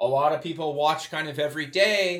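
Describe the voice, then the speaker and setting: This is an ordinary speaking voice from a man. His pitch is fairly high, with ordinary variation. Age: 30s. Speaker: podcast and radio host. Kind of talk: scripted intro; interview.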